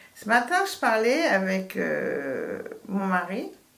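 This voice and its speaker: Audible room echo around a medium-pitched female voice. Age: 70s. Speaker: astrologer and author. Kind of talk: radio interview. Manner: hesitant, many false starts.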